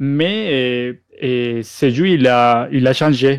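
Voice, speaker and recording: A man's medium-pitched voice in a Spanish accent. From Colombia. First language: Spanish (speaking French). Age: 30s. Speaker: 3D miniature sculptor. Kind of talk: podcast interview. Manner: halting.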